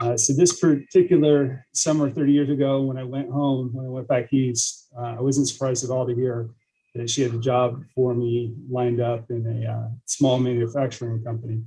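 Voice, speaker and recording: A man speaks at a medium pitch with fairly even intonation. His voice is somewhat breathy, with a dark, mellow tone. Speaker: police lieutenant. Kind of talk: training presentation.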